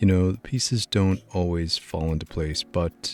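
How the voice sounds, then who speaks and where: A soft-spoken man's very deep, low voice with a gentle tone, ordinary pitch variation and a fairly slow pace, music in the background. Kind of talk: gaming commentary for sleep. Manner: soft-spoken, gentle.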